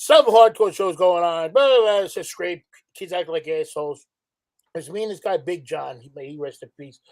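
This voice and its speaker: A man's high voice in a New York accent, moderate in pace, with lively intonation and big swings in loudness. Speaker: former club security worker. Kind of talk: casual chat.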